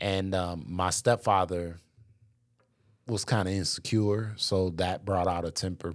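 A man with an American accent speaks at a fairly slow pace in a very deep, low voice with fairly even intonation. The recording is very clean, with a silent background. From Racine, Wisconsin. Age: 40s. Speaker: pastor's husband and podcast host. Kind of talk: casual interview chat.

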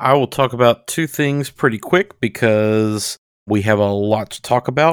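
A plain, everyday voice speaks at a moderate pace with ordinary pitch variation. The recording is very clean and dry, close with no echo and a silent background. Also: man, medium pitch for a man. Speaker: podcast co-host. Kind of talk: casual chat.

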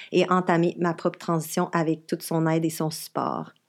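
A woman speaks at a moderate pace. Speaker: podcast co-host. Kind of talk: casual chat. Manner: halting.

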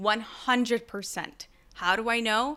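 A woman's bright, sharp tone in a very clean recording with a silent background. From Mexico. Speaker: podcast host. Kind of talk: casual solo monologue. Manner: hyperactive, energetic.

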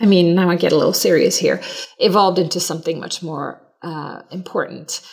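At a moderate pace, a woman speaks with a Swedish accent. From Sweden. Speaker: branding agency CEO. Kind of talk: interview.

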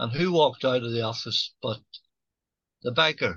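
A man talks at a moderate pace and medium pitch. His tone is bright and sharp. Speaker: actor and singer. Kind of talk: casual chat. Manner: halting.

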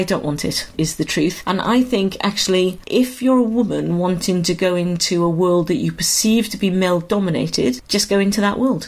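This is a woman with a South Wales accent. Her pitch sits in the medium range. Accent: Welsh (South Wales). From Wales, Swansea. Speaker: musical theatre director and drama school founder. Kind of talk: interview.

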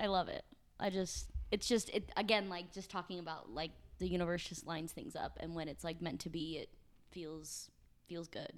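A plain, everyday voice: a woman with an American accent, fairly low in pitch with ordinary pitch variation, at a moderate pace, on a very clean recording with a silent background. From US Midwest, near St. Louis, Missouri. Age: 20s. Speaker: podcast co-host, dancer. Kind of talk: casual chat.

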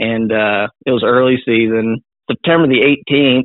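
This man speaks in a Missouri accent. His pitch is medium and his intonation fairly even. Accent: Midwestern US (Missouri). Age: 20s. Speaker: deer hunter. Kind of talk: casual interview.

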